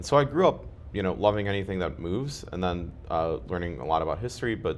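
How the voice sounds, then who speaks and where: Very fast and lively in intonation, a man speaks with a very deep, low pitch and vocal fry. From Ukraine (Kharkiv), raised partly in US. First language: Russian. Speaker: community member interviewed about his life. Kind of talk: interview.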